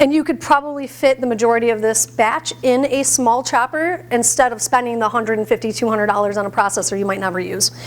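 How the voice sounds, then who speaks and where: Over noticeable background noise, a woman talks at a very fast pace in a fairly high voice with ordinary pitch variation. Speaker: plant-based chef. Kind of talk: cooking demonstration. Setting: stage with audience, microphone. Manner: loud.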